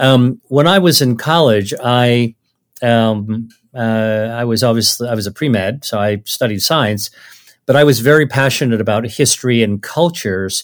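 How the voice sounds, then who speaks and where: With an American accent and a normal speaking voice, a man talks at a moderate pace and medium pitch with ordinary pitch variation, on a very clean recording with a silent background. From United States, Chinese American family. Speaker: physician and author. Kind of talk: interview conversation.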